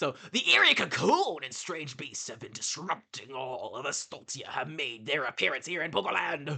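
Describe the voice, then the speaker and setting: A put-on character voice with a low-to-middle pitch moves at a moderate pace with hardly any pauses. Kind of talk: dramatic, hyped. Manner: rambunctious, loud.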